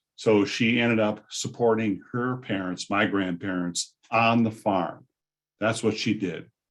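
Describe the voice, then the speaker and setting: A man with a General American accent, fairly low-pitched, at a moderate pace against a quiet background. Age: 60s. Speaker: vocational rehabilitation presenter. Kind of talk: conference presentation.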